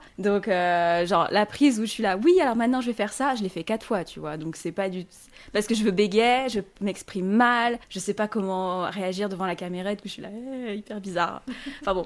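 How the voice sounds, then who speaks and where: Here is a woman with an ordinary speaking voice, medium in pitch with ordinary pitch variation. She talks at a fairly quick pace, and her loudness swings a lot. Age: 20s. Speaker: self-published author and online content creator. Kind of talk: casual interview chat.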